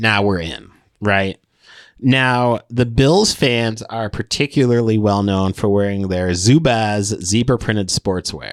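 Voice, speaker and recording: On a very clean recording with a silent background, a man with an American accent and fairly low pitch speaks at a very slow pace with ordinary pitch variation. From upstate New York. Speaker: comedian and podcast co-host. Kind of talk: casual chat. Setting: studio.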